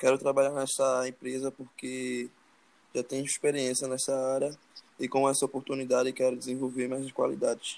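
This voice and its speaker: Speaking at a moderate pace, a man delivers his words in a monotone, flat intonation. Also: medium pitch for a man. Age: 20s. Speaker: job interview candidate, student role-play. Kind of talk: mock job interview.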